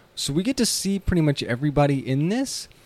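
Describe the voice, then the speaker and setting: This speaker talks at a moderate pace with an American accent. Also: man. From Virginia, US. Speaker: podcast host. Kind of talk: casual interview. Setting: hotel room. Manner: soft-spoken.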